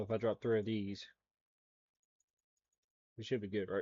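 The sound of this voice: A man's dark, mellow voice, fairly low in pitch, with a slightly husky edge, little pitch movement and a fairly slow pace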